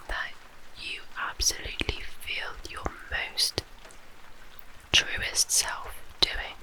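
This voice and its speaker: Noticeable noise sits in the background. A woman is whispering. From British. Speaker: ASMR creator. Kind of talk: ASMR guided relaxation. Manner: whispered, soft-spoken.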